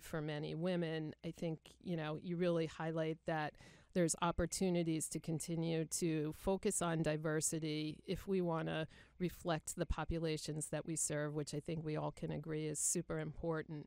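A woman speaks with an American accent at a moderate pace, her pitch fairly low. Her intonation is monotone and flat in a very clean recording with a silent background. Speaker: podcast host, nurse executive. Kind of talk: podcast hosting, interview.

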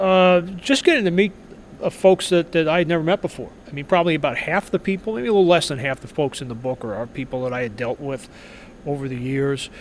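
Against noticeable background noise, a man with a New York accent races along at a very fast pace, his fairly high voice full of lively intonation. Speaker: sports writer, author. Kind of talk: interview. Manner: halting, repeats words.

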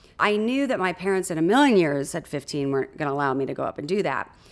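A woman with an American accent speaks with very wide pitch swings on a very clean recording with a silent background. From Southern California, Huntington Beach. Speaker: makeup artist. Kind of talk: interview storytelling.

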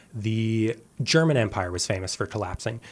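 Medium-pitched male voice with a western Canadian accent and ordinary pitch variation, on a very clean recording with a silent background. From Canada, suburb of Calgary, Alberta. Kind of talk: radio interview.

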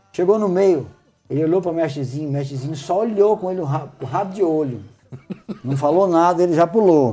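A fairly quick voice with audible room echo and music in the background. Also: man, high pitch for a man, lively intonation. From interior of São Paulo state, Brazil. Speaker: singer-songwriter. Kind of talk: casual chat.

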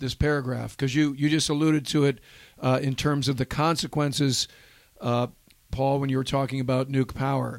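A man talks at a fairly quick pace and fairly high pitch. His intonation is monotone and flat. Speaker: podcast host. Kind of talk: casual podcast conversation. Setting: studio.

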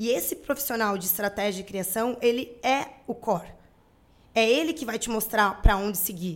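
At a moderate pace, a woman speaks with a plain, everyday voice, fairly high in pitch with ordinary pitch variation. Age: 30s. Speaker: marketing agency owner. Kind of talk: interview.

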